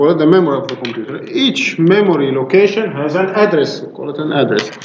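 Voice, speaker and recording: A man's voice in an Arabic accent with very wide pitch swings, audible room echo and noticeable background noise. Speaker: university lecturer. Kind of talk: lecture. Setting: classroom. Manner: hesitant, many fillers.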